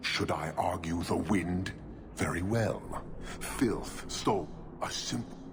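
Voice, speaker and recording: Over loud background noise, a man puts on a character voice pitched very deep and low, moving at a fairly slow pace with long, frequent pauses. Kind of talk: formal, clipped speech. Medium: video game. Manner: stern, deliberate.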